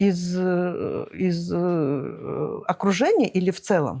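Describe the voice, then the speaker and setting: Her pace is very slow as this woman talks. The audio is very clean and the background is silent. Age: 60s. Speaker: businesswoman. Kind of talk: interview. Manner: hesitant, many fillers.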